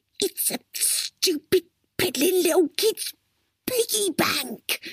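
A put-on character voice, extremely high in pitch, hissing, at a very slow pace. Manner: hissing, scornful.

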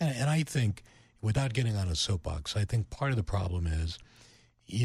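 Recorded very cleanly against a silent background, a man with an American accent speaks in a fairly low, somewhat breathy voice with lively intonation. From western Pennsylvania (Youngwood, near Pittsburgh). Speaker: radio programming executive. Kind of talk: interview.

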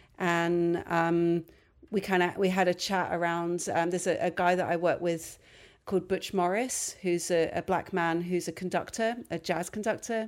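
On a very clean recording with a silent background, a woman with an American accent speaks at a moderate pace in a fairly low, flat monotone with very even loudness. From London. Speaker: composer and violinist. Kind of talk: interview. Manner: halting.

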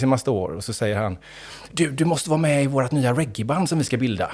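Lively intonation runs through a man's voice. He talks at a very fast pace. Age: 50s. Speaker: rapper and creative director. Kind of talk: casual interview chat. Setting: studio. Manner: animated.

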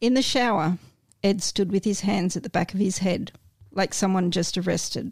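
A woman speaks in an ordinary speaking voice at a medium pitch and moderate pace, her loudness very even, in a very clean recording with a silent background. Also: fairly even intonation. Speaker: guest reader. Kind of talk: reading aloud and casual chat.

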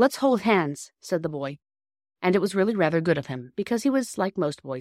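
Lively intonation in an unforced reading voice, the background quiet

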